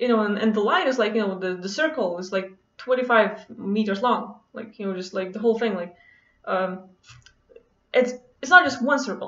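With a non-native accent, a woman speaks at a moderate pace in a fairly high pitch with lively intonation and long, frequent pauses, and room echo is audible. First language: not English. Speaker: vlogger. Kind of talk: casual monologue to camera, personal story. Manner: casual, hesitant with many fillers. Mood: relaxed, enthusiastic storytelling. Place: home room. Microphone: webcam.

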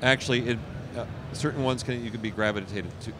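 At a fast pace, a man speaks with medium pitch. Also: ordinary pitch variation.

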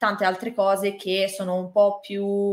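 A woman against a quiet background. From Italy. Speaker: manga artist; interviewee. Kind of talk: interview. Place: home room.

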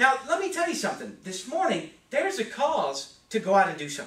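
A man speaks with very wide pitch swings, and the recording has audible room echo and light background noise. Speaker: preacher. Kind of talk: sermon. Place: church. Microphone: camera far.

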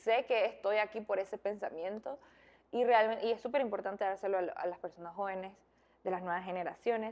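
Fairly quick delivery from a woman, medium in pitch, its pitch moving in an ordinary way. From Nicaragua. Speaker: beauty queen and model; interview guest. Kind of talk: interview. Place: home room.

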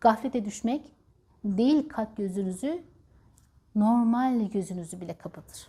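Speaking at a fairly slow pace with long, frequent pauses, a woman with a fairly high pitch and lively intonation sounds somewhat breathy, her tone dark and mellow. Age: 40s. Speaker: spiritual healer and natural stone seller. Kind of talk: spiritual advice monologue. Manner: animated.

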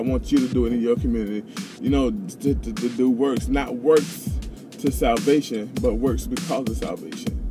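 A man talks fairly quickly, and music can be heard clearly in the background. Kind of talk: casual vlog chat with preaching. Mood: earnest, encouraging. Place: car. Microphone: phone near.

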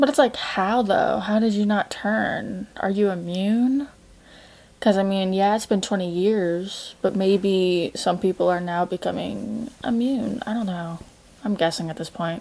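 Fairly slow speech from a woman, her pitch moving in an ordinary way. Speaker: reaction video host. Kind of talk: casual reaction commentary. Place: home room. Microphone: webcam.

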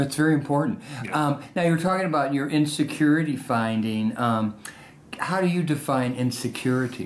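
Background noise is noticeable as this man speaks. He talks at a moderate speed, his fairly high voice showing ordinary variation in pitch. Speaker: oral history interviewer. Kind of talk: interview questions.

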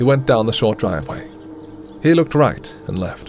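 Over background music, the voice makes very wide pitch swings at a moderate pace. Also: man. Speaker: voice actor. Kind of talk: audiobook narration.

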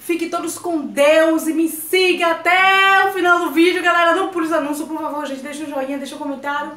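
With hardly any pauses, a woman projects a raised, animated, bright and sharp voice at an extremely high pitch amid audible room echo. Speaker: cooking vlogger. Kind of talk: cooking tutorial vlog. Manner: fast. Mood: cheerful, warm. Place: home room.

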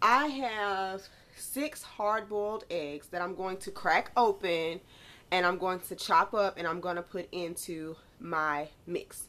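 A bright, sharp-toned woman's voice at a very slow pace. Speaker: home cook vlogger. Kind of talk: tutorial. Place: kitchen. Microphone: phone near.

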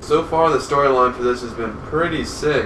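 With noticeable background noise, a man talks at a moderate pace. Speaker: gameplay commentator. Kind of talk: casual let's play commentary. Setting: distant desk microphone, boosted levels. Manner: excited. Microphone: camera far.

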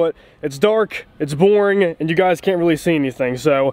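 A man talks at a high pitch, and the sound is dry with no echo. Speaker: vlogger working on his truck. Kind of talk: casual vlog chat. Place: street. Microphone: phone near.

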